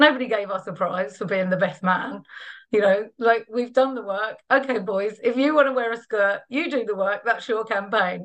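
A woman with a London accent, fairly high-pitched, at a moderate pace. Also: ordinary pitch variation. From East London, England. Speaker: trade unionist and feminist activist. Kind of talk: personal testimony talk.

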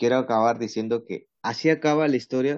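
A man speaks with ordinary pitch variation. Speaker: podcast host. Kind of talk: casual chat.

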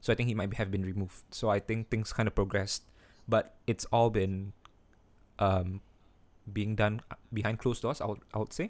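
A man's fairly low, monotone voice at a fairly quick pace, broken by long, frequent pauses, on a very clean recording with a silent background. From Singapore. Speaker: podcast host. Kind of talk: casual chat between friends. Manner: casual, laughs often, swears.

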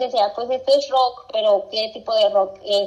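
A woman with a Mexican accent speaks at a fairly slow pace. Her pitch is fairly high, with ordinary variation. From Mexico, Zacatecas. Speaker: podcast co-host. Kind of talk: casual chat. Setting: video call.

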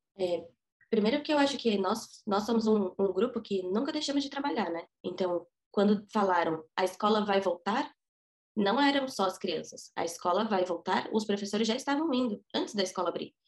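Using a plain, everyday voice, a woman speaks at medium pitch and a moderate pace with lively intonation. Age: 20s. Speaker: preschool teacher. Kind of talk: interview testimony.

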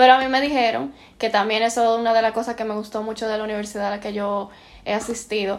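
At a very fast pace, a woman speaks with a fairly high pitch. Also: fairly even intonation. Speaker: postgraduate student in interior design. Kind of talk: casual chat.

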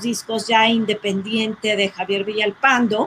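Noticeable background noise around a woman's fairly slow speech. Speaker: sound engineer and record producer. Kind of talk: casual chat.

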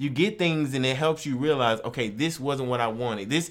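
With an American accent, a man speaks in an unremarkable speaking voice, fairly high in pitch, with lively intonation at a moderate pace. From Texas, Houston area. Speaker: podcast co-host. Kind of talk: casual chat.

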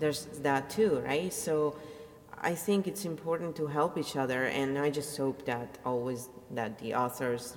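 With an Italian accent, a woman talks at a moderate pace. Her pitch is very deep and low. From Italy. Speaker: audiobook narrator and vlogger. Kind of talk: casual monologue.

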